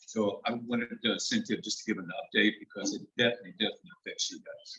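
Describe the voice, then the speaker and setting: A man with an American accent talks at a very fast pace. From Texas, San Antonio. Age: 70s. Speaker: guest speaker, family service worker. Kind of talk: speech to volunteers. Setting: luncheon with audience. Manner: halting, many fillers.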